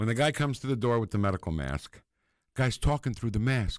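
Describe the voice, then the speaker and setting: Heard dry and close with no echo in a very clean recording against a silent background, a man with a normal speaking voice talks at a moderate pace and medium pitch with lively intonation. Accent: American. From New Jersey. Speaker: former stand-up comedian. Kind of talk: casual chat.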